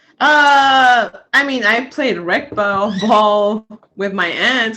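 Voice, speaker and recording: The voice has a bright, sharp tone, lively intonation and a Spanish accent. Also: woman. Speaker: basketball player. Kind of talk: interview.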